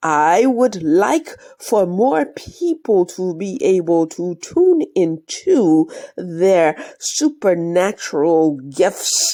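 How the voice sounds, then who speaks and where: A woman speaks at a medium pitch in a dark, mellow tone. Her pace is very slow, and her pitch swings very widely. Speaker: spiritual channeler. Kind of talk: channeled spiritual message. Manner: slow, changed cadence.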